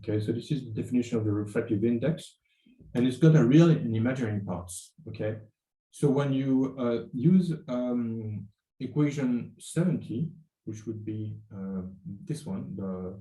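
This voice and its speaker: A man's somewhat breathy, dark and mellow voice at medium pitch, moderate pace and with lively intonation, with audible room echo. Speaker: university lecturer. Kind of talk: lecture. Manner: halting, many fillers.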